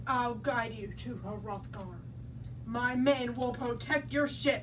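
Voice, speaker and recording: A put-on character voice goes at a fairly slow pace. Loud background noise is present. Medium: stage play.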